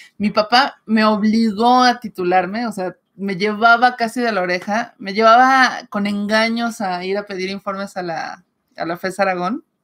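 A woman with an ordinary speaking voice, fairly high in pitch, with fairly even intonation, a fairly slow pace and hardly any pauses. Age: 40s. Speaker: writer and channel co-host; channel co-host. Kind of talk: casual livestream chat. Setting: live stream. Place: home room. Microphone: webcam.

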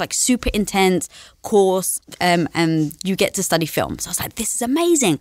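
A woman with an English accent speaks at a fairly quick pace with lively intonation. The background is quiet. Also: dry sound with no echo. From London, England. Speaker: entrepreneur; podcast guest. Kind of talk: interview conversation. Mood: upbeat, animated. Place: studio. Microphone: studio mic.

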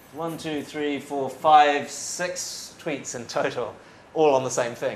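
In a New Zealand accent, a man at medium pitch speaks amid audible room echo and light background noise. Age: 30s. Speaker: foreign correspondent. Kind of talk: after-dinner talk. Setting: stage with audience. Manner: talkative. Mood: relaxed, smiling, animated. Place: hall.

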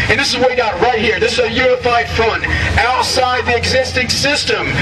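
Rather brisk talking over clearly audible background noise. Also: man. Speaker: rally speaker. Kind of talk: fiery rally speech to a crowd, call-and-response. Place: street.

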